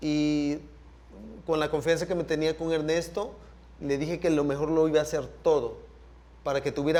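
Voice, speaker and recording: Speaking in a Salvadoran accent, a man with a fairly high pitch keeps a moderate pace and fairly even intonation, pausing often and at length. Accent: Salvadoran Spanish (voseo). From El Salvador. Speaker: sound engineer. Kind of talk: panel talk / masterclass conversation.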